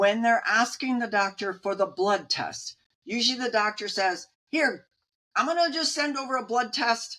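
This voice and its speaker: A woman's bright, sharp tone with very wide pitch swings at a fairly slow pace. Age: 70s. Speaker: nutrition and Medicare advisor. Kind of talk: interview.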